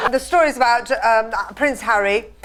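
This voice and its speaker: Against noticeable background noise, a woman talks in a high voice with ordinary pitch variation. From Britain. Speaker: stand-up comedian. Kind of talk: casual talk in a TV or radio interview, joking. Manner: dry, witty.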